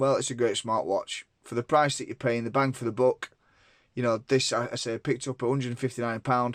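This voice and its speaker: A man's medium-pitched voice at a fairly quick pace, fairly even in intonation, with a dry, close sound, no echo, and a very clean recording over a silent background. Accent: Lancashire. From northern England, Lancashire. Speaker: tech reviewer. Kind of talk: product review. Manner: casual, many fillers.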